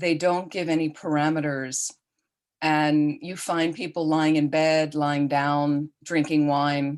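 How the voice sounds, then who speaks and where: A woman speaks at a very slow pace in a very deep, low pitch. Her intonation is flat and monotone. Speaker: Buddhist nun and teacher. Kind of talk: online dharma teaching. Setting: video call.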